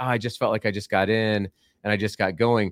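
A man talks at a fairly quick pace in an ordinary speaking voice. His pitch is fairly low and his intonation fairly even. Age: 40s. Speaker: basketball podcast host. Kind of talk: casual interview.

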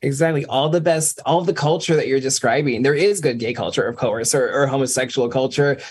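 Somewhat breathy and fairly high in pitch, a man talks at a fairly quick pace with hardly any pauses and ordinary pitch variation. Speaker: DJ. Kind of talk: casual chat. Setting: video call.

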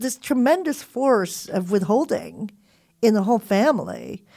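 Her Californian accent comes through as this woman speaks with lively intonation. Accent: Californian American English. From Philippines and Southern California. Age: 40s. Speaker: college professor and author. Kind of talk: casual chat.

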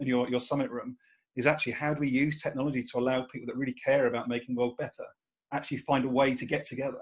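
Speaking at a very fast pace, this voice has a British accent. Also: man. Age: 40s. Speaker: podcast host. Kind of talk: casual chat.

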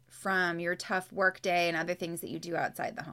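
Speaking with a Californian accent, a woman keeps a moderate pace. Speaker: professional organizer. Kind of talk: interview. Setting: video call.

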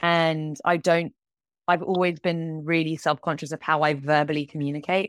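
In a southern English accent, a woman speaks at a moderate pace with a very deep, low pitch and fairly even intonation, on a very clean recording with a silent background and a dry, close sound with no echo. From England. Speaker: animator and TV director. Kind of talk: interview conversation.

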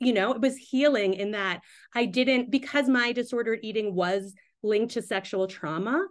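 A woman with an unremarkable speaking voice and fairly high pitch talks at a moderate pace, her pitch varying in an ordinary way. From US, Pakistani-American family. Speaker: midwife and writer. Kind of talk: interview conversation.

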